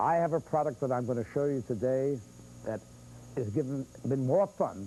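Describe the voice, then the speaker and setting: A man has an unremarkable speaking voice at a medium pitch. He talks at a moderate pace. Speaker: infomercial host. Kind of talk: infomercial pitch.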